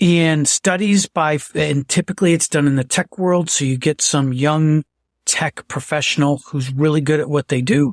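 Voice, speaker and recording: Moderate pace in a very clean recording against a silent background. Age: 60s. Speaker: podcast guest, author. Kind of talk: casual chat.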